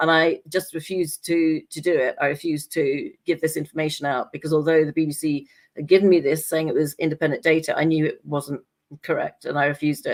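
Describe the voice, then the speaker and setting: A woman's very deep, low voice in an English accent, monotone and flat, at a very fast pace. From England. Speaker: scientist and talk show guest. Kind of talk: casual chat.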